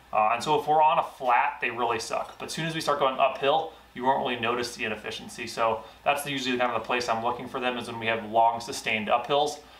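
In a room with audible echo, a man of medium pitch talks at a fast pace with few pauses, using a fairly bright tone and fairly even intonation.

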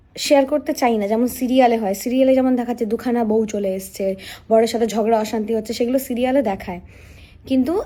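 Her voice high in pitch, a woman talks with a dark, mellow tone. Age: 20s. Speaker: stage singer and vlogger. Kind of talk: vlog monologue to camera. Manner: halting, many fillers.

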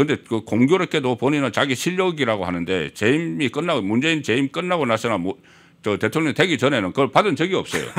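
Against a quiet background, a man with vocal fry speaks at a medium pitch and a very fast pace, his pitch swinging very widely. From South Korea. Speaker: political commentator. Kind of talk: political talk show interview. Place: studio. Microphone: studio mic.

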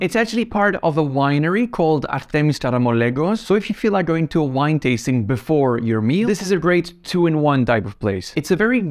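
In a quiet background, a man talks at a fairly quick pace with very wide pitch swings. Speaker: travel channel host. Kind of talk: travel recommendation talk to camera. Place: home room. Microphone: lapel.

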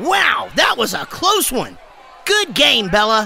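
A man shouts in a cartoonish character voice, his pitch extremely high for a man. He speaks at a fairly slow pace over clear background noise. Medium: puppet show. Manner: excited, bubbly.

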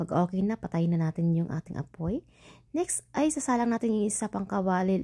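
A woman with a dark, mellow, somewhat breathy tone and medium pitch speaks at a fairly quick pace with lively intonation, the sound dry and close with no echo. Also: very clean recording, silent background. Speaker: cooking vlogger. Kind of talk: cooking voice-over tutorial. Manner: chatty, casual; stumbling over words.

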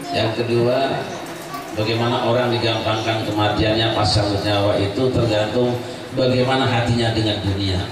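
A man speaks at a moderate pace and medium pitch. Audible room echo and noticeable background noise surround him. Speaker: Islamic preacher. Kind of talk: sermon with humor. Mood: humorous storytelling. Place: home room.

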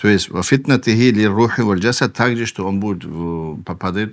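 With lively intonation, a man talks in a fairly low pitch. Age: 40s. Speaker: Islamic preacher. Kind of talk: religious lecture. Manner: halting, with frequent fillers and repetitions.

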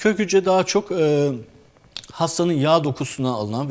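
A man is speaking. His intonation is lively. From Turkey, Ankara. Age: 40s. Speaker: orthopedic surgeon. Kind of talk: medical interview. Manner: hesitant, many filler sounds.

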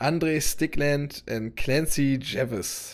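His voice sits at a medium pitch for a man, with ordinary pitch variation. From Hannover, Germany. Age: 20s. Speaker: gaming YouTuber and motovlogger. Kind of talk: let's play commentary. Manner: casual, loud.

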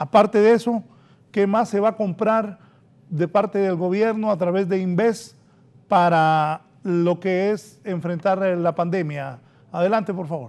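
A man's high-pitched voice at a fairly slow pace. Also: ordinary pitch variation. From Honduras. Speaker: TV interview host. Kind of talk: interview. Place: studio.

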